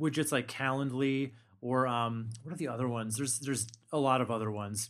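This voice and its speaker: A man's plain, everyday voice at medium pitch, fairly quick in pace, with fairly even intonation. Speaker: podcast host. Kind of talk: casual chat.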